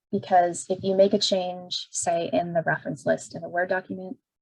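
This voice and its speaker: With a dry, close sound and no echo, the speaker's voice comes across somewhat breathy. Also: woman. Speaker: librarian. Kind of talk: tutorial.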